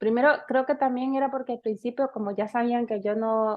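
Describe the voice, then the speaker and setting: This is an ordinary speaking voice, keeping a moderate pace and fairly even intonation. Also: woman. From Honduras, city. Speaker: podcast co-host. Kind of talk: casual chat.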